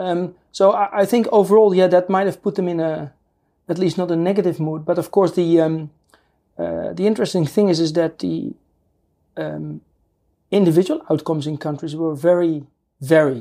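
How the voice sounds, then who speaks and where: With a Dutch accent, a woman speaks at a moderate pace in a fairly low pitch with a dark, mellow tone, fairly even intonation and long, frequent pauses. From Netherlands. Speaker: political scientist professor. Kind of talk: interview. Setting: studio. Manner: halting.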